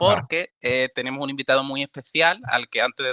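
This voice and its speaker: Someone with a normal speaking voice talks at a fairly quick pace. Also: man. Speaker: podcast host. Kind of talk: podcast intro and interview questions.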